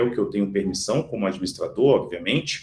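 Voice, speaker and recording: A man is talking here. There is some breathiness in his voice. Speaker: software product demonstrator. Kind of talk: webinar product demo.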